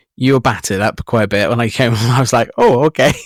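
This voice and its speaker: Heard in a dry, close sound with no echo, a man with an ordinary speaking voice talks at a fairly quick pace and medium pitch. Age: 40s. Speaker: podcast host. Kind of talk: casual interview chat.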